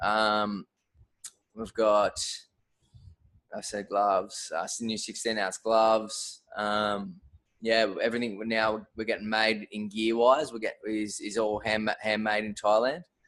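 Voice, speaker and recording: In an Australian accent, a man speaks at a fairly low pitch with monotone, flat intonation. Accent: thick Australian. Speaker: fight gear brand owner. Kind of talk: podcast interview. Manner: hesitant, many fillers.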